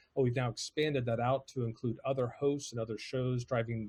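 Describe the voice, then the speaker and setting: A man talks at a fairly quick pace with an American accent, his voice somewhat breathy. His intonation is monotone and flat, and the sound is dry and close with no echo. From United States. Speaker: podcast agency CEO. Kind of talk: presentation. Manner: hesitant, many fillers.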